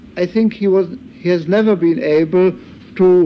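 A man talks over light background noise. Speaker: German journalist, interviewee. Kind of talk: recorded interview recollection. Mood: thoughtful, measured. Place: home room. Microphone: old recording.

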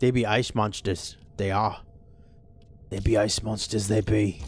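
A man's raspy, fairly low-pitched, put-on character voice at a moderate pace. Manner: playful, comedic.

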